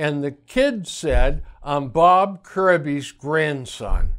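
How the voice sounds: The delivery is very slow, with lively intonation and a fairly bright tone. The recording is very clean, with a silent background. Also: man, fairly high pitch for a man.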